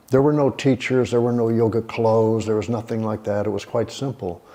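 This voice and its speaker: This is a man with a plain, everyday voice and an American accent. His pitch is medium and his intonation fairly even. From Texas, Houston. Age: 60s. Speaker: yoga teacher. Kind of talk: interview.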